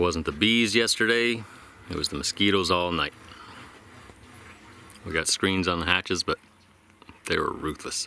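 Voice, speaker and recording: A man's very deep, low voice, dry with no echo, over light background noise. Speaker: sailing vlogger. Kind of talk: casual vlog chat. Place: boat. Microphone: phone near.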